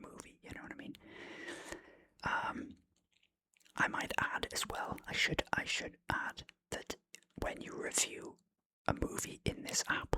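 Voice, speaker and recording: The speaker is whispering at a moderate pace. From Wales. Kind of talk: ASMR film review talk. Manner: whispered; relaxed, casual.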